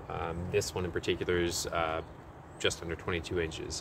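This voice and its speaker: A man speaking at a moderate pace, with light background noise. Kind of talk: tutorial. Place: garden.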